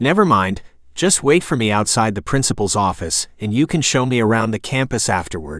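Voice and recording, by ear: Lively intonation while reading aloud in a natural voice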